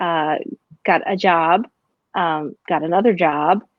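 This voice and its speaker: A woman's fairly low voice with an American accent, ordinary pitch variation and a very slow pace. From Pennsylvania. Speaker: real estate broker. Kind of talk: interview. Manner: animated.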